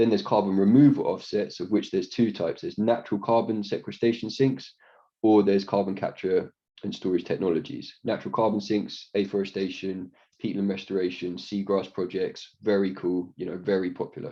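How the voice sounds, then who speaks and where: Talking at a fairly quick pace, a man keeps a fairly low pitch and fairly even intonation. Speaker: sustainability consultant. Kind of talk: conference presentation. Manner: fast.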